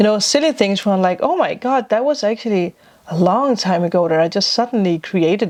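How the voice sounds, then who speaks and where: A woman speaks at a medium pitch with a non-native accent. Her intonation is lively. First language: not English. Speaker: spiritual vlogger and tarot reader. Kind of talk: casual vlog talk.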